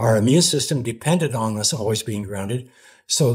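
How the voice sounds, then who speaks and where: A man speaks at a fairly quick pace and medium pitch, his voice somewhat breathy. Pitch variation is ordinary, and the recording is very clean with a silent background. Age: 80s+. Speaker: grounding pioneer and entrepreneur. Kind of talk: interview. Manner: halting.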